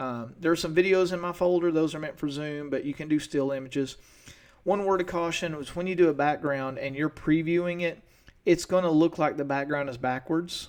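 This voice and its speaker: Speaking at a fairly quick pace, a man with an East Tennessee accent uses a fairly high pitch and fairly even intonation. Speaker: teacher. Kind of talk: tutorial. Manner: fast.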